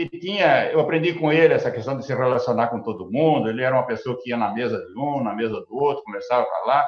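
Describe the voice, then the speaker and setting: Barely pausing at all, a man rattles along at a very fast pace in a medium pitch with ordinary pitch variation. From Brazil, Paraná (born São Paulo state, moved very young). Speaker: agribusiness cooperative executive. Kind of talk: interview. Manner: halting, many repetitions.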